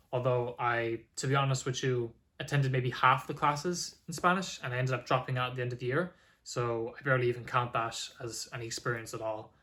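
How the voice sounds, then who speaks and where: A man with an Irish accent at a fairly quick pace, fairly even in intonation, on a very clean recording with a silent background. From Ireland. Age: 20s. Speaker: language learner vlogger. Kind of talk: casual vlog monologue. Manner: casual with filler words.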